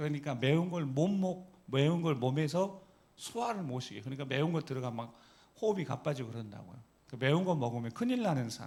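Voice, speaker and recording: A man with a fairly high pitch talks at a very fast pace with lively intonation, and room echo is audible. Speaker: pastor. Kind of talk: sermon. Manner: animated, rhetorical questions to congregation.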